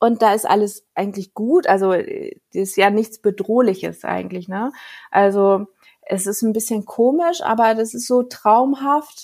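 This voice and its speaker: Her pitch is fairly high, with ordinary variation. The woman talks at a fairly slow pace. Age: 30s. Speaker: children's book author and illustrator. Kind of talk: interview. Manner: halting.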